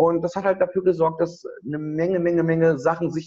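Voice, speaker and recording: A man with a high-pitched voice talks fairly quickly, varying his pitch in an ordinary way. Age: 30s. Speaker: event organizer. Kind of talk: interview. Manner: halting.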